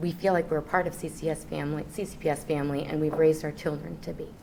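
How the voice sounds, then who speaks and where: A woman's shaky voice with vocal fry and a very deep, low pitch. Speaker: teacher and union negotiator. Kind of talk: contract bargaining meeting. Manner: shaky, emotional voice.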